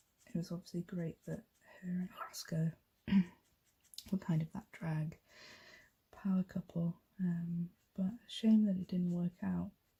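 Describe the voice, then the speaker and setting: A soft-spoken woman talks at a fairly slow pace with long, frequent pauses, her pitch fairly low and her intonation monotone and flat. Her tone is dark and mellow, and her voice is somewhat breathy. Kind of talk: ASMR colouring ramble.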